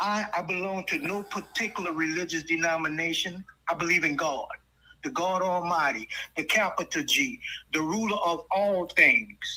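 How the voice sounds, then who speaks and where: Moderate pace, with noticeable background noise. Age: 60s. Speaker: Freemason. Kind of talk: heated debate. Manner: animated.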